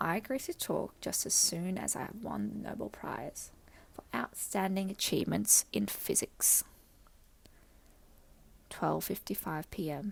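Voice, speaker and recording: The speaker whispers at a fairly slow pace with long, frequent pauses. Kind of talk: audiobook reading. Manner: whispered.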